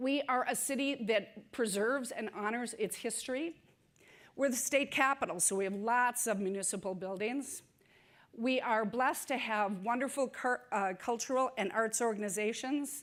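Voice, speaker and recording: A woman's fairly high voice with ordinary pitch variation in a very clean recording with a silent background. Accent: Upper Midwest. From Saint Paul, Minnesota. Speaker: city public works director. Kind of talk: conference talk. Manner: fast.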